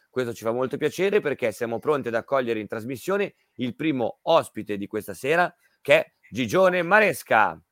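Pitch swings very widely at a fairly quick pace, in a very clean recording with a silent background and a dry, close sound free of echo. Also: man, medium pitch for a man. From Milan, Italy. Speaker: radio host. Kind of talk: casual radio chat. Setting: radio studio.

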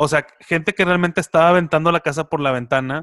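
A bright, sharp tone with ordinary pitch variation in a dry, close sound with no echo. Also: man. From Mexico, Monterrey area (San Nicolás de los Garza). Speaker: podcast co-host. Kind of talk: casual chat.

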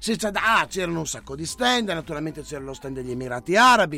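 The man's voice is raised and projected, with a bright, sharp tone. His pitch swings very widely. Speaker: radio host. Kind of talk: casual banter, live show. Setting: studio. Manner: animated, joking.

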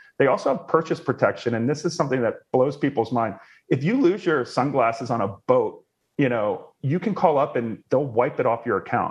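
A man's plain, everyday voice, fairly high in pitch, at a fairly quick pace. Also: lively intonation. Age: 30s. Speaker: travel points expert, website founder. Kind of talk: casual interview chat.

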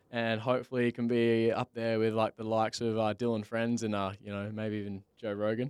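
Speaking in an Australian accent at a medium pitch, a man talks at a fairly quick pace with hardly any pauses and monotone, flat intonation, in a dry, close sound with no echo. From Western Australia, Bunbury. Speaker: podcast host. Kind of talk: casual chat. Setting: studio.

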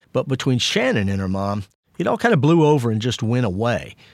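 In a very clean recording with a silent background, a man with a medium pitch and ordinary pitch variation speaks at a moderate pace in an unremarkable speaking voice. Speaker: podcast host and journalist. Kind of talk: true-crime podcast narration. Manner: measured, somber, serious.

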